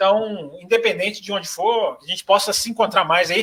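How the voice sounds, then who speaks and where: A man projects a raised voice with ordinary pitch variation. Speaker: motorsport journalist. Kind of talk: podcast panel chat.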